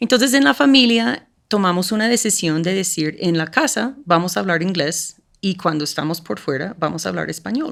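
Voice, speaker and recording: A woman with an English accent, fairly low in pitch, at a moderate pace, her voice swinging very widely in pitch. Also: very clean recording, silent background. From United States. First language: English (speaking Spanish). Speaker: school program coordinator. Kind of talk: podcast interview.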